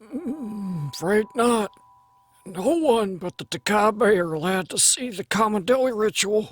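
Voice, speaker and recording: Putting on a character voice, a man speaks at a moderate pace with high pitch and lively intonation. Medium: audio drama. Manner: plain-spoken, calm.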